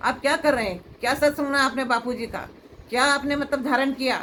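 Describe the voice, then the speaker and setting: This woman speaks at a moderate pace. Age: 70s. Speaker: devotee. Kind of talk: emotional appeal. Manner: halting.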